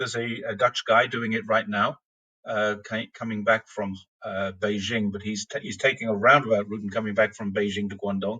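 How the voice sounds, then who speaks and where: His tone is bright and sharp with a fairly low pitch. The man speaks at a fairly quick pace in a monotone, flat intonation. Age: 60s. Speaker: cyclist and long-term expat. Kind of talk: podcast interview. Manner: halting.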